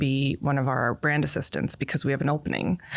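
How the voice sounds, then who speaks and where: Speaking at a fairly quick pace with a North American accent, a woman shows vocal fry on a very clean recording with a silent background. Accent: North American, often taken for American. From Canada. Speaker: college international partnerships director. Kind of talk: interview conversation. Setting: podcast interview. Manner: animated.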